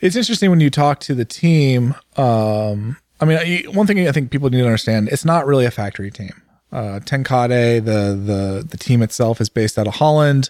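A man talks at a fairly quick pace with a slight Californian accent. The recording is very clean, with a silent background. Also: medium pitch for a man, lively intonation. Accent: general American, slight Californian. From Northern California. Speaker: podcast host. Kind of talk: casual banter.

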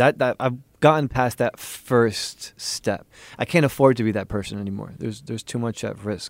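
A man with an American accent and a plain, everyday voice speaks at a medium pitch and a moderate pace with ordinary pitch variation, in a dry, close sound with no echo and a very clean recording with a silent background. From US Northeast, New York City. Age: 20s. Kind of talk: interview.

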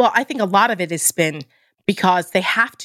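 Speaking with an American accent, a woman has an unremarkable speaking voice at a medium pitch with ordinary pitch variation. The sound is dry and close with no echo, in a very clean recording with a silent background. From New Jersey. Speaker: political commentator. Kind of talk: political interview.

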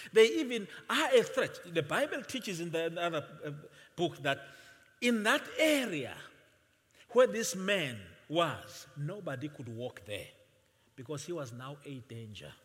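A man talks at a fairly slow pace, leaving long, frequent pauses. His voice is high, with very wide pitch swings and big shifts in loudness. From Swaziland (Eswatini). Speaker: visiting pastor. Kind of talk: sermon. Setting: church with congregation. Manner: soft-spoken.

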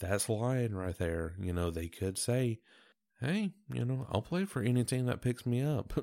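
Over a silent background in a very clean recording, a man with a dark, mellow tone speaks fairly slowly with lively intonation. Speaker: sports podcast host. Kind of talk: solo sports commentary podcast. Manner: low-voiced, laid-back.

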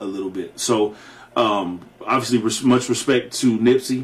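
Speaking at a fairly slow pace, a man with an unremarkable speaking voice keeps a medium pitch and fairly even intonation. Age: 40s. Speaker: podcast co-host. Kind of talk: casual chat. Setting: studio.

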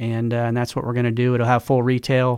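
On a very clean recording with a silent background, a man speaks at a medium pitch with an American accent. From Oklahoma, Tulsa. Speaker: sports team executive. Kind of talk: interview. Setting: studio.

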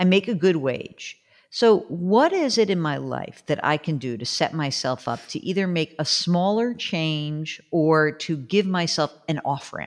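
In a very clean recording with a silent background, a woman speaks with lively intonation and hardly any pauses. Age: 50s. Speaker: business analyst and author. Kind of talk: casual chat.

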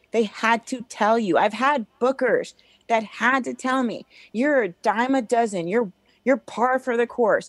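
In an American accent, the speaker uses an ordinary speaking voice at a fairly slow pace with fairly even intonation. The sound is dry and close with no echo, on a very clean recording with a silent background. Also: woman, fairly high pitch for a woman. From Illinois. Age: 40s. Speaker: comedian. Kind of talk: casual chat.

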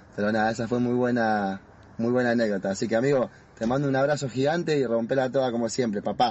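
Very fast and fairly even in intonation, a man speaks. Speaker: childhood friend of a footballer. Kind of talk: recorded video message.

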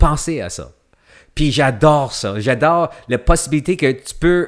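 The pace is very slow. The intonation is lively. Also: man. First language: English (speaking French). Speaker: actor. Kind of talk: casual chat. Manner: halting, many repetitions.

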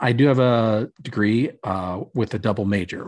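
A man talks with a fairly low voice. His pitch varies in an ordinary way. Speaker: podcast host. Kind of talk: casual chat. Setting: video call.

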